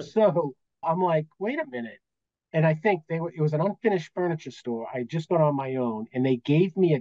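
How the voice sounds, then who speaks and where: With an American accent and a dark, mellow tone, this voice moves at a fairly quick pace with lively intonation in a dry, close sound with no echo. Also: man. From Massachusetts, Medway near Boston. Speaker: accountant, business valuation expert. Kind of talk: casual chat.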